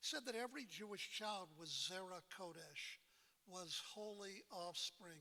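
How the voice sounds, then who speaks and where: This raised, projected voice has a bright, sharp tone and ordinary pitch variation. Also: man. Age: 70s. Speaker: rabbi, moderator. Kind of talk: public talk.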